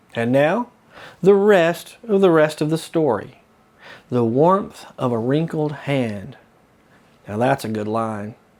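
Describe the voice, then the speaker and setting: A man with a Southern US accent speaks at a very slow pace, leaving long, frequent pauses. His fairly high voice moves in very wide pitch swings. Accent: southern drawl. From US South. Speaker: local historian and author. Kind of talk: storytelling commentary. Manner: casual, conversational.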